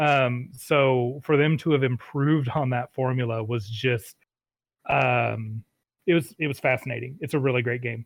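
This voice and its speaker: A man of medium pitch uses a normal speaking voice, keeping a moderate pace and fairly even intonation. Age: 30s. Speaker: game designer. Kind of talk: casual chat.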